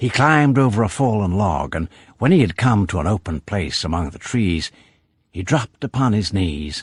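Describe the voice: The intonation is lively in this plain reading aloud, heard over a quiet background.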